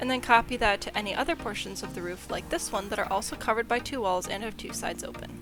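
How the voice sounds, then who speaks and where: Over music in the background, a woman talks at a very fast pace with hardly any pauses. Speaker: video game building tutorial creator. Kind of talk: game tutorial voice-over. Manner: casual, friendly.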